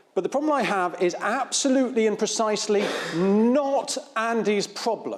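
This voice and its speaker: Over noticeable background noise, a man talks in a high pitch with very even loudness. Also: ordinary pitch variation, moderate pace. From England, Devon. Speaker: infectious diseases physician. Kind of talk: conference talk.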